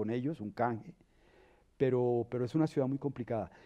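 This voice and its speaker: With an unremarkable speaking voice, a man at medium pitch talks at a fairly quick pace with fairly even intonation. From Colombia, Bogotá. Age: 60s. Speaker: dancer and arts educator. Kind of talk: interview.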